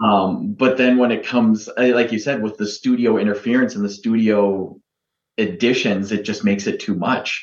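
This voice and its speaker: A man talks in an unremarkable speaking voice at medium pitch. His intonation is fairly even and his pace moderate. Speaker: film podcast guest. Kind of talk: casual chat.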